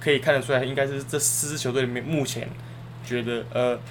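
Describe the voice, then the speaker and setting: Over noticeable background noise, a man talks at a fairly quick pace in a flat monotone. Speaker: sports podcast co-host. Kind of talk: casual chat.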